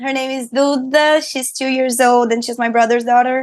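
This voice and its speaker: With a Portuguese accent, a woman talks at a high pitch against a quiet background. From Brazil, Rio de Janeiro. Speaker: singer and streamer. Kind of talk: interview. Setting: studio.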